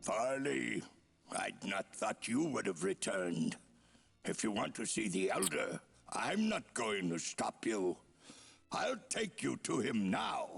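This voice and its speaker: A raspy put-on character voice from a man, medium in pitch, at a fairly slow pace. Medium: video game.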